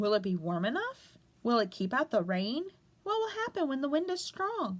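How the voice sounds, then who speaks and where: In a put-on character voice, a woman speaks high with very wide pitch swings at a moderate pace. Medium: read story.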